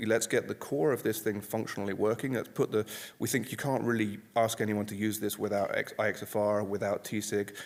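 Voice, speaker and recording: The speaker is a man with a fairly deep pitch. His delivery is fairly brisk. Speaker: conference presenter, software developer. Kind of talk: conference talk Q&A. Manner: loud.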